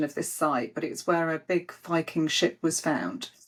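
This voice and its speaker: With a Yorkshire accent, a woman speaks at a fairly slow pace and a fairly low pitch. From Yorkshire, northern England. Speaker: spirit medium. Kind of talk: casual chat. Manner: animated.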